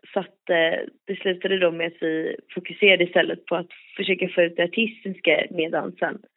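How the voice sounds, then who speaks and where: A woman speaks at a fairly quick pace and medium pitch. Her intonation is monotone and flat. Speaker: debut singer. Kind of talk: interview. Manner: halting.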